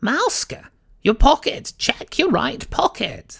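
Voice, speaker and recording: Someone performs a put-on character voice at a high pitch and a fairly slow pace. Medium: read story.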